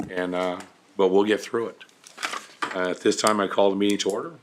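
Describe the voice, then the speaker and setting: A man's fairly low voice at a moderate pace, with monotone, flat intonation and noticeable background noise. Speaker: mayor chairing city council. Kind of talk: council meeting chairing. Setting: council chamber at civic center.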